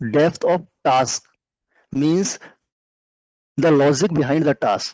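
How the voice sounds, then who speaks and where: Fairly high in pitch, a man talks at a very slow pace with long, frequent pauses and ordinary pitch variation. The sound is dry and close with no echo. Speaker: career mentor teaching a finance session. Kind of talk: lecture. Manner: slow, deliberate explanation.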